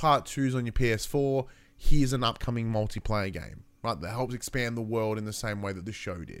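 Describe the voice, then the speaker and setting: Recorded very cleanly with a silent background, a man speaks in an ordinary speaking voice at medium pitch, with ordinary pitch variation and a moderate pace. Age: 30s. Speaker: gaming podcast host. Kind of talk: solo casual podcast chat. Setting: live-streamed podcast recording.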